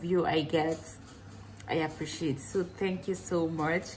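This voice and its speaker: Over light background noise, a woman speaks fairly slowly in a fairly low, somewhat breathy voice with fairly even intonation. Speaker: vlogger. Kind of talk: casual vlog chat. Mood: relaxed, a bit wistful. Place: kitchen. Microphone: phone near.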